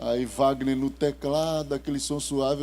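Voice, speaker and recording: A man speaks at a fairly slow pace in a medium pitch, his tone dark and mellow. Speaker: pastor. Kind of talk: sermon. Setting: church. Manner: slow, calm.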